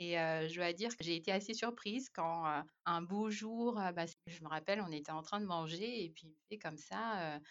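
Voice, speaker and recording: A woman talks with a fairly low pitch and ordinary pitch variation. She keeps a fairly slow pace. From Madagascar. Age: 30s. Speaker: expatriate mother. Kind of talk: casual interview conversation. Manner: halting, many hesitations.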